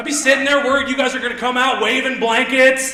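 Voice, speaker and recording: A man's raised, projected voice at an extremely high pitch, with an American accent, noticeable background noise and audible room echo. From Indiana. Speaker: stand-up comedian. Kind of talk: stand-up. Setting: stage with audience. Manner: loud.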